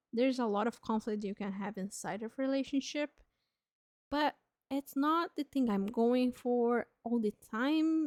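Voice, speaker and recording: A woman with a non-native accent speaks at a fairly slow pace. Her pitch is high, with ordinary variation. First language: not English. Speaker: streamer. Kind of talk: live stream chat. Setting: live stream. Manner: casual, with fillers.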